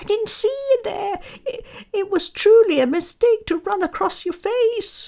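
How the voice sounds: A woman in a put-on character voice speaks at a fairly slow pace with extremely high, squeaky pitch, vocal fry, a slightly mellow tone and ordinary pitch variation.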